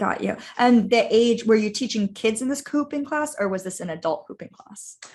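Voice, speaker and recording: This is an unremarkable speaking voice. It moves at a moderate pace with hardly any pauses. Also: woman, fairly high pitch for a woman, lively intonation, big swings in loudness. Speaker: podcast host, life coach. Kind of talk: interview question.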